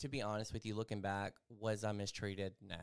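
In a Southern US accent, a man speaks at a fairly low pitch with monotone, flat intonation. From Mississippi. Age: 30s. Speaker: life coach. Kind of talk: personal testimony.

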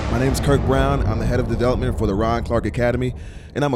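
Against noticeable background noise, a man with an American accent speaks at a medium pitch. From New York (Bronx), Jamaican family. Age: young. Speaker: school fundraising executive. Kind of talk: casual interview. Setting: recorded at a gathering venue.

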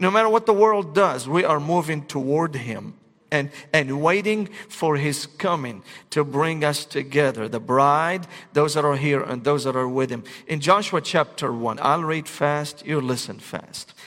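With an Arabic accent, a man speaks at a fairly slow pace in a fairly high pitch, his pitch varying in an ordinary way. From Syria, Damascus. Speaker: pastor. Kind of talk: sermon.

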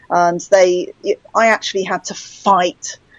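Speaking with a British accent, the woman has a fairly low pitch. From England. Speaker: author. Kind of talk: casual interview conversation.

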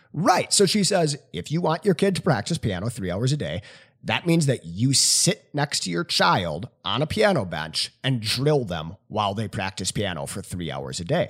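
An animated man with vocal fry, very wide pitch swings, a moderate pace and hardly any pauses. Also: medium pitch for a man, very clean recording, silent background. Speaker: high school English teacher. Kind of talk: casual banter podcast. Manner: joking, animated.

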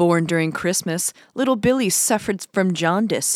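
At a moderate pace, a woman talks in a normal speaking voice pitched fairly low. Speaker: podcast co-host. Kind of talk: casual chat, plot summary reading.

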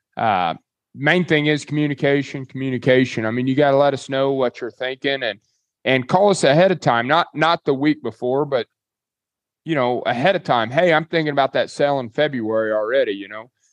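Speaking at a fairly quick pace, a man with a Kansas accent uses a fairly high pitch. The sound is dry and close with no echo, over a quiet background. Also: ordinary pitch variation. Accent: rural US Plains (Kansas). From Kansas, Dodge City. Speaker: livestock auction owner. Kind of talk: casual interview.

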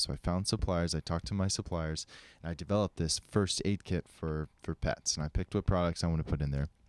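Dry and close with no echo, this very clean recording over a silent background carries a voice with an American accent, a fairly quick pace and fairly even intonation. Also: man. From Colorado. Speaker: skydiving coach and entrepreneur. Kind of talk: casual chat.

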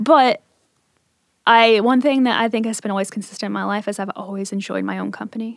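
At a fairly quick pace, a woman speaks with a fairly high pitch and fairly even intonation in a very clean recording with a silent background. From Appalachia, Southern Ohio, then Richmond, Virginia. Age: 30s. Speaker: small business owner. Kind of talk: casual interview conversation.

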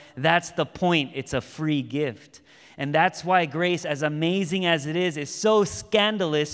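A man with a plain, everyday voice, ordinary pitch variation and a moderate pace. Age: 30s. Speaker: pastor. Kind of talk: sermon. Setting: church.

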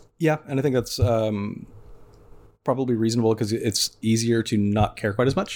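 A man speaks in an ordinary speaking voice at medium pitch, with ordinary pitch variation, a moderate pace and very even loudness. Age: 30s. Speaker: dating podcast guest. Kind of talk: casual chat.

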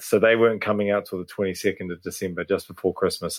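A very fast man with a fairly low pitch and a New Zealand accent. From New Zealand, Hawke's Bay. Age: 30s. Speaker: drummer. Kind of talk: casual chat.

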